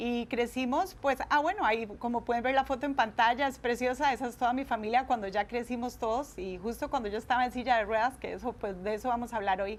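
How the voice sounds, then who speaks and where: Speaking at a very fast pace, a woman uses a high pitch with ordinary pitch variation. She talks with a Costa Rican accent. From Costa Rica, Guadalupe. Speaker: speaker giving testimony. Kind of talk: tv interview. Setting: tv studio.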